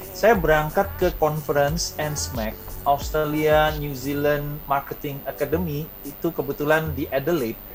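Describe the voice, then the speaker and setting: Over noticeable background noise, a man with a strong Indonesian accent talks at a fairly high pitch with ordinary pitch variation and hardly any pauses. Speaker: university lecturer and author. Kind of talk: interview.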